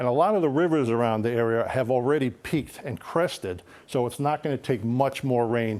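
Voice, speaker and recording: A man with a plain, everyday voice speaks at a moderate pace and medium pitch with ordinary pitch variation. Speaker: TV meteorologist. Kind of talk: TV weather forecast.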